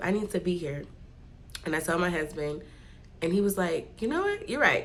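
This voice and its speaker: With an American accent, a woman speaks at a fairly low pitch amid audible room echo. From California, Bay Area. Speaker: vlogger. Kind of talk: casual vlog talk. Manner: talking low; chatty.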